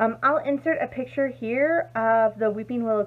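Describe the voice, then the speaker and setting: This woman speaks with a fairly high pitch and ordinary pitch variation. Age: 30s. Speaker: crafting video creator. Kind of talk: casual chat. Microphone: phone near.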